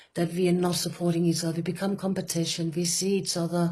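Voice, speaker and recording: A woman is speaking. She has a Danish accent. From Denmark. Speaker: retreat facilitator. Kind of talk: conversational talk. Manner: halting, with many fillers.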